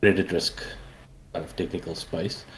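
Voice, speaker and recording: Here a man speaks with a South African accent. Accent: Afrikaans South African English. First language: Afrikaans. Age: 40s. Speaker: indie game developer. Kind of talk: interview. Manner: halting, many fillers.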